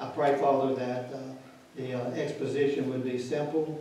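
Speaking at a moderate pace with a medium pitch, a man has a dark, mellow tone and little pitch movement, set against strong room echo.

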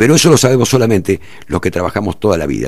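In an Argentine accent, the speaker talks at a very fast pace with very wide pitch swings. The sound is dry with no echo against a quiet background. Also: man. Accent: Rioplatense Argentine Spanish. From Argentina, Buenos Aires province. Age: 60s. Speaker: mayoral candidate and veteran journalist; candidate. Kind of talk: radio interview. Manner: halting, many fillers and repetitions. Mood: critical, indignant about local government. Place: studio. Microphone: studio mic.

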